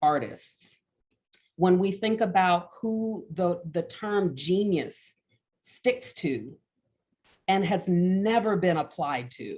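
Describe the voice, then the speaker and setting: A woman with an American accent, medium pitch, ordinary pitch variation and a very slow pace. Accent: Alabama accent, comes out now and then. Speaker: art educator, professor. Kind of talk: panel discussion talk.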